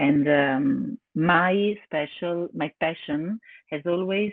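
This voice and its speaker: A woman in an Italian accent, very deep and low in pitch, with lively intonation. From Italy. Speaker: yoga teacher. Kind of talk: webinar presentation. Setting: online webinar. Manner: halting, many fillers.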